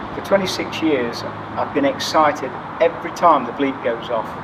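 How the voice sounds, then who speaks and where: A man with an East Midlands accent speaks at a moderate pace, with audible room echo and noticeable background noise. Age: 60s. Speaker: firefighter. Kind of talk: interview.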